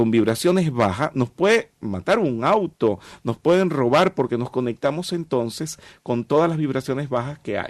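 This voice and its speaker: An unremarkable speaking voice moves at a moderate pace with lively intonation, recorded very cleanly with a silent background and a dry, close sound with no echo. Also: man, medium pitch for a man. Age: 50s. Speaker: metaphysics teacher. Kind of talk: interview.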